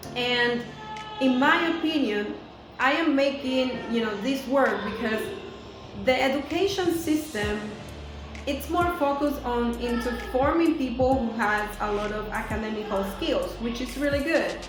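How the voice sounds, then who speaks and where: With music in the background and audible room echo, a woman in a Spanish accent speaks at a fairly slow pace, her pitch high with ordinary variation. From Venezuela. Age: 30s. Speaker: teacher and video blogger. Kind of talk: vlog monologue.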